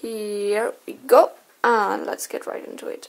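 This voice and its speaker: The speaker talks at a fairly slow pace with a German accent. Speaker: card collector and artist. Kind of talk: unboxing commentary. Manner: casual, hesitant.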